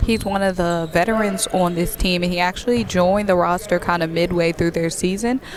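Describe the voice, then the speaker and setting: Over noticeable background noise, a woman with a fairly low pitch talks at a very fast pace in an energetic, enthusiastic tone. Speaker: sports reporter / color commentator. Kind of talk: live basketball color commentary.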